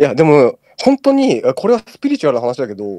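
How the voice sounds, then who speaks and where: A man talks fairly quickly. The recording sounds dry and close, without echo. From Tokyo. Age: 30s. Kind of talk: casual chat.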